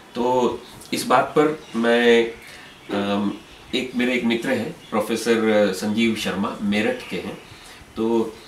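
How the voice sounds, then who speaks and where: Very slowly and with fairly even intonation, a man speaks amid light background noise and audible room echo. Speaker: interviewer. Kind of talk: interview. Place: home room. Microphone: camera far.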